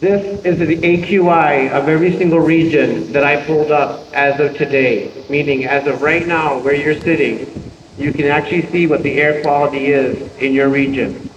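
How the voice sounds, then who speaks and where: A man's fairly high voice at a moderate pace, fairly even in intonation and very even in loudness, with hardly any pauses, audible room echo and noticeable background noise. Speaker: environmental expert and university lecturer. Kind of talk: seminar lecture.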